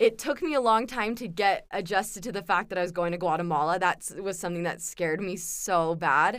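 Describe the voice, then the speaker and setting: Here a woman speaks in a West Coast American accent. Her pace is moderate, and the recording is very clean with a silent background. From Southern California. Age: 20s. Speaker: university student, returned missionary. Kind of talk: casual interview.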